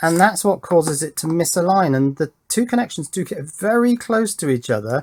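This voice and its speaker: In an English accent, a loud man with a high voice talks at a moderate pace with hardly any pauses and very wide pitch swings, on a very clean recording with a silent background. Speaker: electronics YouTuber. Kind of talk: casual unboxing tutorial.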